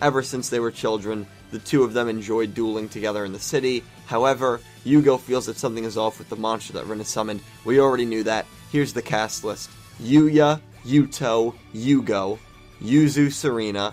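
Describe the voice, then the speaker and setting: With music playing in the background, a man talks at a fairly quick pace using fairly even intonation. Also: medium pitch for a man. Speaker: anime commentator. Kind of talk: casual talk to camera.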